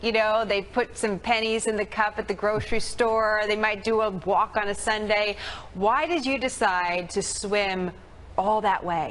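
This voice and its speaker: A plain, everyday voice from a woman, fairly high in pitch, at a fairly slow pace, with very even loudness and fairly even intonation. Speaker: TV news anchor. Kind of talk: TV news interview.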